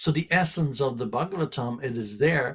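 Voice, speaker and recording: Somewhat breathy, a man talks at a moderate pace with a fairly high pitch and lively intonation. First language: not English. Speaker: spiritual teacher. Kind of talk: scripture class. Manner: repetitive, halting.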